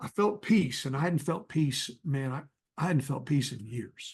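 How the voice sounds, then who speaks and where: With an American accent, a man talks fairly slowly in a fairly high, somewhat breathy voice with lively intonation. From North Texas. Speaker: evangelist. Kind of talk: testimony.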